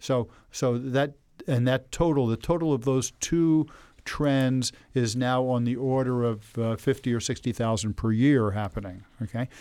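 A man's dark, mellow voice at medium pitch, with ordinary pitch variation, in a very clean recording over a silent background. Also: moderate pace. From New Jersey, Elizabeth. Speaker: business founder and advocate. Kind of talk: interview. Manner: halting, many fillers and repeated words.

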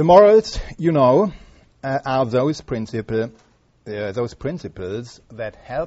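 A man with a German accent, medium in pitch, very slow in pace, and lively in intonation. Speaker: history professor. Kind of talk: lecture. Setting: stage with audience. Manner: halting.

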